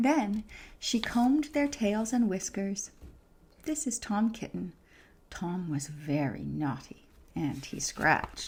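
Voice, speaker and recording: At a very slow pace, the soft-spoken, somewhat breathy voice moves through very wide pitch swings in a very clean recording with a silent background. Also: woman, medium pitch for a woman. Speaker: ASMR creator, reading to listener like a mother. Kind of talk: children's storybook reading. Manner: soft-spoken, calming.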